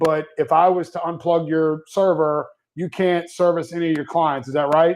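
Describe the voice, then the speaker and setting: In a loud, high voice, a man speaks at a moderate pace with monotone, flat intonation against a quiet background. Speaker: managed IT services business owner. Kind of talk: live webinar discussion.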